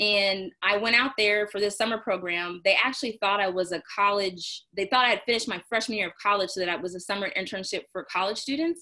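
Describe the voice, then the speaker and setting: With an American accent and a bright, sharp tone, the speaker moves at a fairly quick pace with hardly any pauses and ordinary pitch variation over a quiet background. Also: woman, medium pitch for a woman. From Texas, Houston (Clear Lake). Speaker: physician. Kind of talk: interview.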